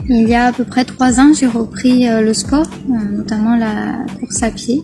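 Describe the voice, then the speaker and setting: A woman's fairly high voice, fairly slow pace and fairly even intonation, over noticeable background noise. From southwest France, Gers. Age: 30s. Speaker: care assistant and charity raid participant. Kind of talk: interview. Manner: hesitant, many fillers.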